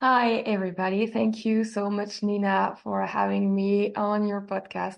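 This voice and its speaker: A woman speaks in a French accent at medium pitch with fairly even intonation. The background is quiet. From France, Normandy. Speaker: immersive art expert and hypnotherapist. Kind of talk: podcast interview. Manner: halting, many fillers.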